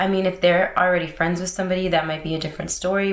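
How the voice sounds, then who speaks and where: A woman talks very fast at a fairly low pitch. Room echo is audible, and background noise is noticeable. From Florida, US (St. Pete / Tampa). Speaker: lifestyle vlogger. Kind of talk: casual vlog talk. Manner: loud; bubbly.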